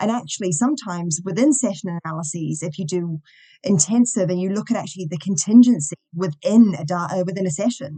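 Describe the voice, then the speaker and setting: Speaking very fast, a woman uses a medium pitch and lively intonation. Her tone is dark and mellow, and somewhat breathy. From New Zealand. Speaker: university lecturer and behaviour analyst. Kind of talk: podcast interview.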